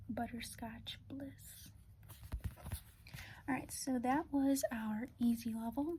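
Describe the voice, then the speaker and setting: Soft-spoken, a woman talks in a high pitch with fairly even intonation. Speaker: ASMR artist doing a doctor roleplay. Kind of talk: ASMR roleplay, calm guided test.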